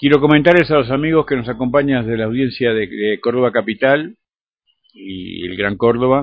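Moderate pace and medium pitch from a man, a normal speaking voice with ordinary pitch variation. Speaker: radio host. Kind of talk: radio interview.

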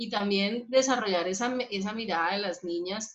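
This woman has an unremarkable speaking voice at a medium pitch with ordinary pitch variation. She talks at a moderate pace. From Colombia, Bogotá. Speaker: podcast co-host, psychologist. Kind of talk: casual chat.

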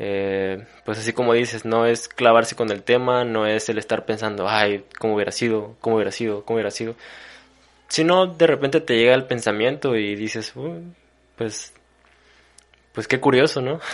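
A man talks at a medium pitch and a moderate pace. His pitch varies in an ordinary way, and the background is quiet. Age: 20s. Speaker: university student. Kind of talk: casual conversation.

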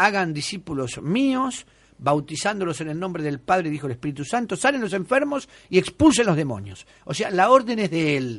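Against a quiet background, a man speaks at a moderate pace. His high voice moves through very wide pitch swings. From Argentina, Buenos Aires. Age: 50s. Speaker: exorcist bishop. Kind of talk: radio interview. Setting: radio studio.

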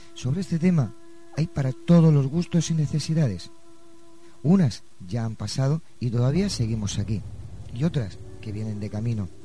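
A somewhat breathy man's voice at a medium pitch, dark and mellow in tone, with very wide pitch swings at a moderate pace. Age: 50s. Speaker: radio co-host. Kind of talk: radio talk show.

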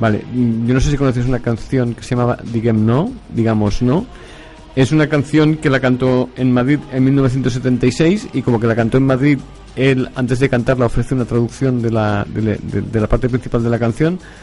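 A man talks at a moderate pace with a medium pitch. His intonation stays fairly even, and music plays in the background. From Barcelona, Catalonia. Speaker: radio host. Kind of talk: casual chat.

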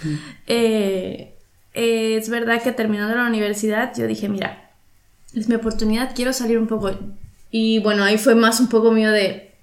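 Speaking at a moderate pace, a woman uses a fairly high pitch and a monotone, flat intonation. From Mexico, Veracruz. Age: 30s. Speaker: painter. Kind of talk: casual interview chat.

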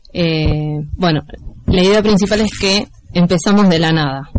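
Noticeable background noise surrounds a woman whose fairly low voice, with ordinary pitch variation, moves at a fairly slow pace. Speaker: community radio co-host. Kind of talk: casual radio chat.

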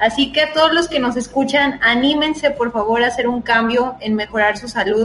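Music plays in the background as a woman with a high pitch talks at a moderate pace. She uses ordinary pitch variation and hardly any pauses. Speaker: nutritionist podcast co-host. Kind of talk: casual chat.

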